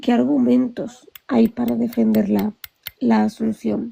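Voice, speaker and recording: Dark, mellow female voice at a very slow pace with very wide pitch swings. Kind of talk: heated debate.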